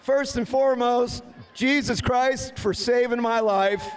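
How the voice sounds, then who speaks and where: Over noticeable background noise, a man with an extremely high pitch speaks at a fairly slow pace, with very even loudness and ordinary pitch variation. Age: 60s. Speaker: demolition race driver. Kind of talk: post-race interview.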